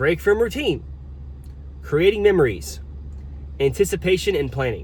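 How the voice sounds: A man speaks at a fairly slow pace with big pitch swings.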